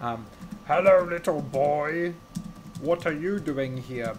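A put-on character voice at a middle pitch speaks at a very slow pace over clear background noise.

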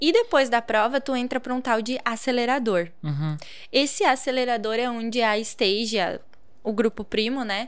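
In a high pitch, a woman talks at a moderate pace with ordinary pitch variation. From Rio Grande do Sul, Brazil. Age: 30s. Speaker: social media entrepreneur; guest. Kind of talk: casual interview chat. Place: studio. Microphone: studio mic.

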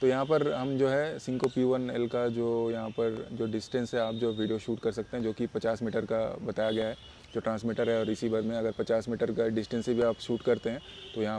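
A man speaks at a fairly quick pace in a fairly low, dark, mellow tone. His pitch moves very little.

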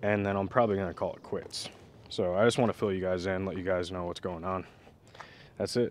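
A man with an ordinary speaking voice talks at a fairly quick pace and fairly low pitch with fairly even intonation, in a dry sound with no echo over light background noise. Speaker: diy vlogger. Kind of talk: casual vlog chat. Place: garden. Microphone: phone near.

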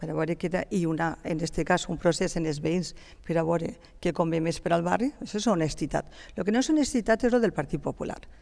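A woman with a Valencian accent speaks at a fairly quick pace, her voice fairly low with a dark, mellow tone. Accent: Valencian Catalan. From Gandia, Valencian Community; Valencian Community. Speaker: city councillor. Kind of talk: heated debate. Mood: defensive, argumentative. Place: studio. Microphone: headset.

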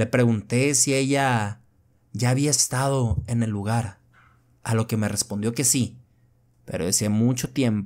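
A man's medium-pitched voice with a dramatic tone at a fairly slow pace, on a very clean recording against a silent background. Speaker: horror story narrator. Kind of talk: horror narration, first-person story read aloud. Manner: tense, hushed, slow-building suspense; measured, dramatic pacing.

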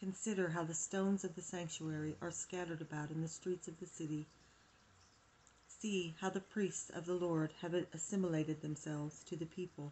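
At a moderate pace, a woman speaks in a fairly low, somewhat breathy voice with monotone, flat intonation. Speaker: home reader of devotional text. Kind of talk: reading aloud. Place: home room. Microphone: phone near.

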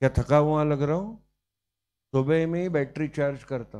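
A man with fairly high pitch speaks at a fairly slow pace with ordinary pitch variation. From Maharashtra, India. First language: Marathi (speaking Hindi). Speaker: teacher. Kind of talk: lecture. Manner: animated. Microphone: handheld.

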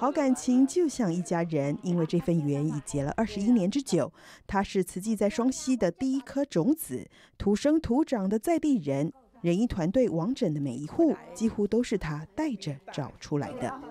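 A woman with a dark, mellow tone and medium pitch speaks at a moderate pace, her pitch swinging very widely. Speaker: news narrator. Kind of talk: TV news narration.

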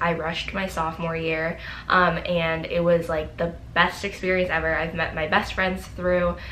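A woman's fairly low pitch in monotone, flat intonation, with light background noise. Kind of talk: casual vlog chat. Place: home room.

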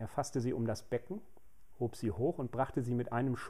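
A plain read-aloud delivery, intonation fairly even

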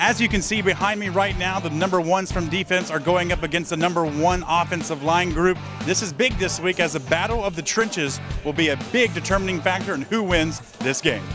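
With music in the background, a man talks at a fairly quick pace and high pitch with ordinary pitch variation. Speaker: sports reporter. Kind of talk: news reporting.

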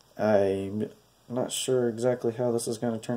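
A man's nasal voice, dark and mellow in tone, at a fairly slow pace.

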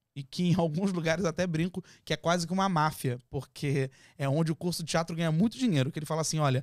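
A man with a Brazilian accent at a fairly high pitch and fairly quick pace, ordinary pitch variation, dry with no echo, over a quiet background. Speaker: TV presenter and actor. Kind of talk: casual chat. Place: studio. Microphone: studio mic.

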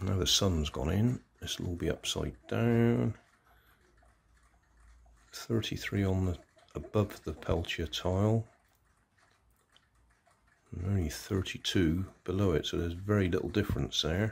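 With long, frequent pauses, a man speaks fairly slowly in a very deep, low, somewhat breathy voice. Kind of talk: tutorial. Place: home room. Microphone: phone near.

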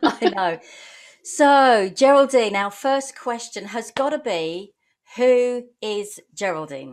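Very slow speech with very wide pitch swings over a quiet background. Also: woman, fairly high pitch for a woman. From Essex, southern England; southern England. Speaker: online business community host. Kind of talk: live interview. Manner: animated. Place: home room. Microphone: video call.

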